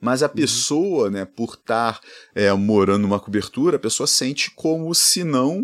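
A man's normal speaking voice at medium pitch and moderate pace, with lively intonation. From Rio de Janeiro, Brazil. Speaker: economics professor, podcast co-host. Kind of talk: casual chat. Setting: at home.

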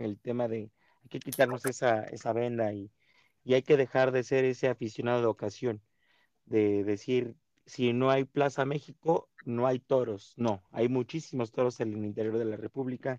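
A man at a medium pitch with a dark, mellow tone, moderate pace and fairly even intonation, in a dry, close sound with no echo against a quiet background. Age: 30s. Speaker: podcast host. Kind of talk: casual interview.

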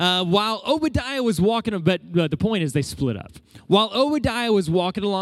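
Lively intonation marks an unforced reading voice.

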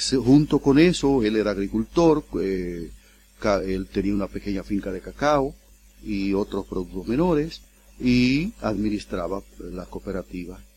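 A man with a dark, mellow tone speaks at a fairly slow pace and a fairly low pitch. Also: lively intonation. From Dominican Republic, El Seibo province. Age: 60s. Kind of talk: interview. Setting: studio.

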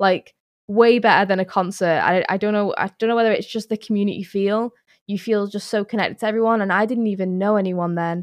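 A woman talks at a very fast pace with a medium pitch and monotone, flat intonation. Her background is quiet. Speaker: professional esports player and streamer. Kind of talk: casual interview. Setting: remote call from home.

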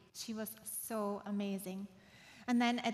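A woman's somewhat breathy voice, fairly high in pitch, with monotone, flat intonation at a moderate pace. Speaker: guest preacher at church. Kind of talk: sermon. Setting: church with congregation.

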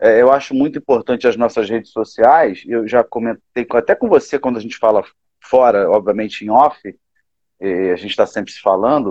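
This man has an ordinary speaking voice at medium pitch, with ordinary pitch variation. He keeps a moderate pace, and his loudness swings widely. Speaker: gospel musician. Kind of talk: casual chat.

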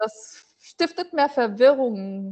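A woman's voice, high in pitch. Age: 40s. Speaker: business owner. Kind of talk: interview. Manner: halting.

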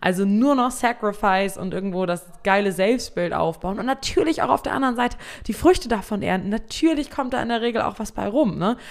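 In an unremarkable speaking voice, a woman talks at a fairly quick pace with a fairly high pitch and lively intonation. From Germany, East Frisia (Emden). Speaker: podcast host, social selling coach. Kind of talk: solo podcast monologue. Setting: home studio at computer.

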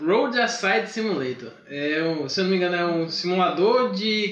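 Audible room echo and noticeable background noise surround the speaker. He is a man with a high voice. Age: 20s. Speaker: systems developer and freelance game developer. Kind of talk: casual chat. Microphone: too far from the mic.

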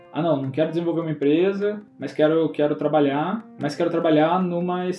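A man with a fairly high voice talks at a fairly quick pace, showing ordinary pitch variation over noticeable background noise. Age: 20s. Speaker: entrepreneur. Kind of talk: casual chat.

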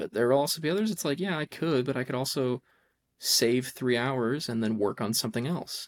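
Talking at a fairly quick pace, a man has a plain, everyday voice at medium pitch with ordinary variation. The recording is very clean, with a silent background. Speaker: podcast co-host, college student. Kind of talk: casual chat.

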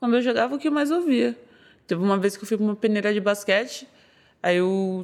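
A woman's voice with very wide pitch swings. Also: quiet background. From São Paulo, north zone. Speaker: MMA fighter. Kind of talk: casual interview.

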